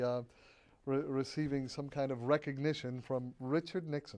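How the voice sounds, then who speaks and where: A man's fairly high voice with a dark, mellow tone and an American accent. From Massachusetts (Quincy, south of Boston). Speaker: chemistry professor and former federal science official. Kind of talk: interview.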